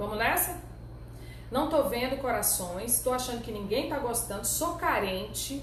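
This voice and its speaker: Noticeable background noise and audible room echo surround the recording. A woman talks at a moderate pace. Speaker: labor lawyer and teacher. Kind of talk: live online lecture. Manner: animated.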